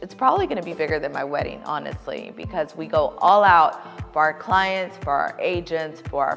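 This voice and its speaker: Music plays in the background as a woman speaks. Her tone is upbeat. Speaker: luxury real estate agent. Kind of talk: casual talk to camera.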